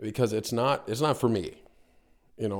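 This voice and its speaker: A man with an American accent speaks at a fairly quick pace in a fairly low voice with ordinary pitch variation. The recording is very clean, with a silent background. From US, North Carolina. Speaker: business owner in real estate/mortgage field. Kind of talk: casual interview. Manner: halting, many fillers and repetitions.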